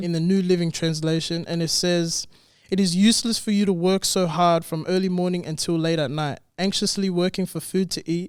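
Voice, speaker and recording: A man with an Australian accent, high pitch, fairly even intonation and a fairly quick pace. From Western Sydney, Australia. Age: 20s. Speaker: barber. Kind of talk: interview answer. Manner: casual.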